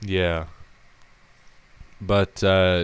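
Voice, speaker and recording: In a very deep, low pitch, a man speaks with monotone, flat intonation. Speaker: podcast host. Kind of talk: casual chat. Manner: hesitant, many fillers.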